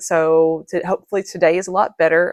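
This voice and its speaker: In a dry, close recording with no echo and a quiet background, a woman talks at a moderate pace, her fairly low voice flat and monotone. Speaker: crochet YouTuber. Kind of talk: casual vlog chat. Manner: halting.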